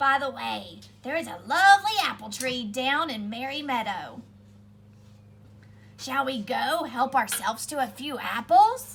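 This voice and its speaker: Over clear background noise, a woman in a put-on character voice speaks at a high pitch and a moderate pace, with long, frequent pauses. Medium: read story. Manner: wheedling, scheming.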